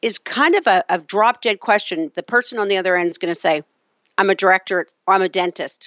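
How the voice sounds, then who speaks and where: A woman with an unremarkable speaking voice talks at a fairly quick pace. Her pitch is medium, with ordinary variation. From Canada. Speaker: HR consultant and author. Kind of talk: interview.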